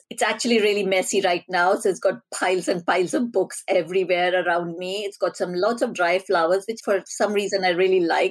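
With a normal speaking voice, a woman talks at a fairly quick pace and medium pitch, using ordinary pitch variation. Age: 40s. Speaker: behavioural and data scientist, author. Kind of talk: interview.

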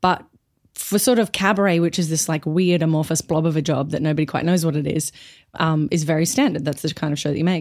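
In an Australian accent, a woman speaks at a very fast pace with ordinary pitch variation. Her voice is very deep and low, on a very clean recording with a silent background. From Brisbane, Australia. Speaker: actor and comedian. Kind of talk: casual chat.

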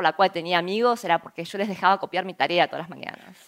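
This woman talks very rapidly. The rise and fall of her pitch is normal. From Argentina, Buenos Aires. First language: Korean (speaking Spanish). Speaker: entrepreneur and scientist giving a talk. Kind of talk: conference talk.

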